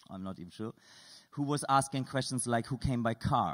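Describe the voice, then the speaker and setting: Against a quiet background, a man talks at a fairly quick pace. He has a non-native accent. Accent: non-native English, noticeable foreign. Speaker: artist and composer. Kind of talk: lecture with audience exercises. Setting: stage with audience, microphone. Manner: informal, playful; halting. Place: hall. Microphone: studio mic.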